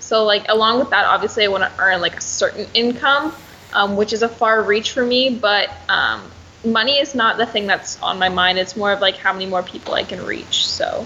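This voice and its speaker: At a moderate pace, a woman speaks in a fairly high pitch with ordinary pitch variation amid noticeable background noise. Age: young. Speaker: personal trainer and online fitness coach. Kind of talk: casual chat.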